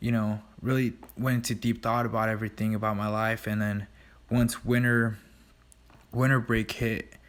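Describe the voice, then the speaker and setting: Soft-spoken and monotone, a man talks at a medium pitch and moderate pace with long, frequent pauses and very even loudness, on a very clean recording with a silent background. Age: 20s. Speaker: vlogger and gym owner. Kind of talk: casual vlog narration. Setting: recording at night; in a car. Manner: hesitant, many fillers.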